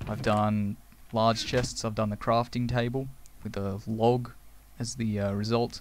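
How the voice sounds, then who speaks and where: A man's medium-pitched, monotone, flat delivery in a very clean recording with a silent background. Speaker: let's play gamer. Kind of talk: gameplay commentary. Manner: fast.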